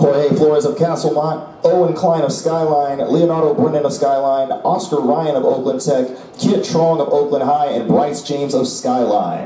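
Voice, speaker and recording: With audible room echo, a man talks at a moderate pace with hardly any pauses and ordinary pitch variation. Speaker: stadium announcer. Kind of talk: commentary. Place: stadium.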